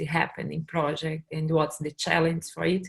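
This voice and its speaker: A woman speaks with a fairly low pitch. Her voice is somewhat breathy. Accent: Portuguese. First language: Portuguese. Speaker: workshop facilitator. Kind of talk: online presentation. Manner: halting.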